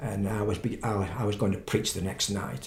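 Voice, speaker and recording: A man's somewhat breathy, fairly low voice at a fairly slow pace, with audible room echo. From England, Stoke-on-Trent. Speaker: pastor. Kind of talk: interview testimony.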